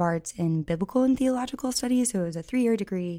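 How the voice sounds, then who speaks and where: A woman with an American accent speaks in a plain, everyday voice at a medium pitch. Her intonation is lively, and the recording is very clean with a silent background. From Missouri, US. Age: 30s. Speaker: college ministry director. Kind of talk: podcast interview.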